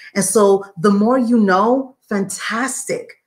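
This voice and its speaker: A woman speaks with a New York accent at a fairly high pitch. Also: very clean recording, silent background. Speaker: online business coach. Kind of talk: live stream talk. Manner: conversational, tangential.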